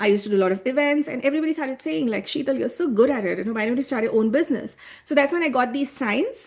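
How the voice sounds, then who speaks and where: A woman with an Indian accent speaks very fast in a high voice, with lively intonation. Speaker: human design coach. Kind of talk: online workshop presentation. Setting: live video call with screen share.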